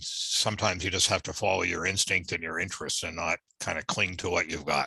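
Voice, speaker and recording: A man with a Canadian accent and a bright, sharp tone. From Canada, Toronto area (born in Norfolk, Virginia). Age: 60s. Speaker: retired corporate lawyer. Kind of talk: interview.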